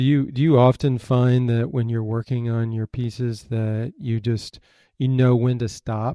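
This man has an American accent and a plain, everyday voice at medium pitch. His intonation is fairly even and his pace fairly slow. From Michigan. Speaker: podcast host. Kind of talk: interview.

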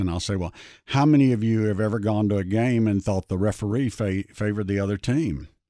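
On a very clean recording with a silent background, a man with an American accent talks at a fairly quick pace. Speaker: investment research founder. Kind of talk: interview. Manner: halting.

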